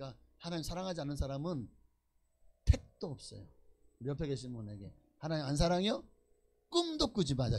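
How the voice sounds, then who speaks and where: Speaking at a fairly quick pace with long, frequent pauses, a man with a fairly high, somewhat breathy voice sounds animated, with lively intonation and big swings in loudness. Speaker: pastor. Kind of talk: sermon.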